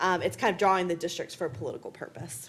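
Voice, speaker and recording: A woman talks at a very fast pace. Vocal fry runs through her voice. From US South. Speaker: political science professor. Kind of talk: panel discussion.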